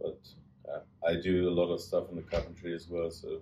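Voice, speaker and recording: Speaking at a moderate rate, a man talks in a German accent. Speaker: travelling joiner. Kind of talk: interview.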